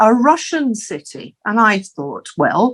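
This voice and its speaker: At a very slow pace, a woman with an Aberdeen accent speaks with lively intonation on a very clean recording with a silent background. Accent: Scottish (Aberdeen). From Scotland, Aberdeen. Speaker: interviewee, former city international relations officer. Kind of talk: interview. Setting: studio. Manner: halting, with fillers.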